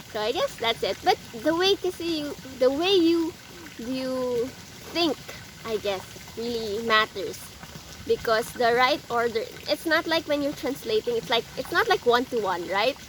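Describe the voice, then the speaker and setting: A high-pitched woman's voice with very wide pitch swings, a moderate pace and long, frequent pauses, over noticeable background noise. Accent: Filipino. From Philippines. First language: Filipino. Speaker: vlogger. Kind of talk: casual vlog tips. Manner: halting, many fillers.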